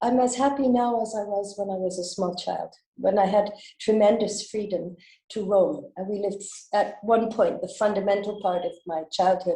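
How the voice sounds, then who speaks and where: The voice is somewhat breathy with a dark, mellow tone, moving at a moderate pace. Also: woman, medium pitch for a woman. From western Canada, British Columbia. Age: 70s. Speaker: school director and fundraiser. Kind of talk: interview.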